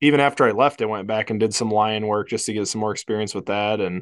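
A man with an unremarkable speaking voice talks at a moderate pace with a fairly low pitch. The background is quiet. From Iowa. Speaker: wildlife biology professor. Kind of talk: casual chat.

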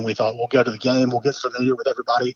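A man speaks with a Southern US accent. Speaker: high school football announcer. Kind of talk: casual interview chat. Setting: phone call.

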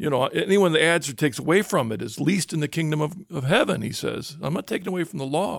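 Delivered at a very fast pace with hardly any pauses, the voice has lively intonation and vocal fry. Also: man, fairly high pitch for a man. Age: 60s. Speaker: radio host. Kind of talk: casual conversation. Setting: studio.

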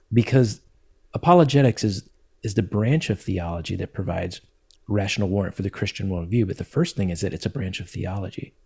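Somewhat breathy male voice, dark and mellow in tone, with ordinary pitch variation. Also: fairly low pitch for a man, fairly quick pace. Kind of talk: podcast interview. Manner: calm, gentle.

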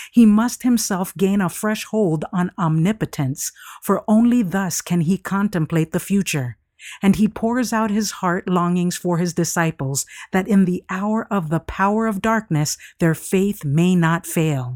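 A woman speaks at medium pitch and a fairly slow pace in a solemn, dramatic tone with ordinary pitch variation. The recording is very clean, with a silent background and a dry, close sound with no echo. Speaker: devotional reader. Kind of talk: devotional reading aloud, dramatic narration. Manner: solemn, reverent, measured; dramatic, hushed storytelling.

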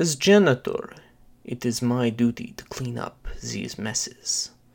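Using a put-on character voice, a man talks slowly with lively intonation, a slightly mellow tone and vocal fry. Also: medium pitch for a man.

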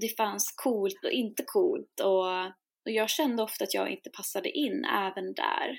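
The recording is very clean and the background silent. This woman talks at a fairly slow rate. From Sweden. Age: 20s. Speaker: singer-songwriter and shamanic priestess. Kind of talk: interview conversation.

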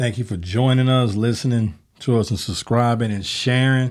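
In an American accent, a man speaks with a normal speaking voice at a moderate pace and with fairly even intonation. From Chicago, South Side. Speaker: basketball podcast host. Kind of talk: casual chat; scripted promo.

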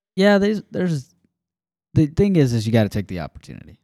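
This man has an American accent and a dark, mellow tone. He talks at a fairly quick pace with lively intonation, in a very clean recording with a silent background. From Alabama, US South. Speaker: podcast co-host. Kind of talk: casual faith discussion. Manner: halting, many fillers.

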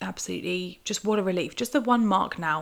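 A woman of medium pitch talks in a British accent. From UK. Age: 20s. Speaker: podcast host. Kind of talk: solo casual commentary.

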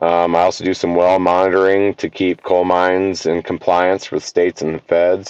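A man's very deep, low voice in an American accent, monotone and flat, with hardly any pauses. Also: moderate pace. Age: 50s. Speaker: archery event organizer and water operator. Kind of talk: casual interview chat.

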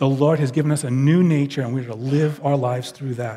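At a moderate pace, a man with a New York accent speaks in a dark, mellow tone, keeping his intonation fairly even. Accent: New York speech patterns. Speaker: pastor. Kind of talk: sermon. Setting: church.

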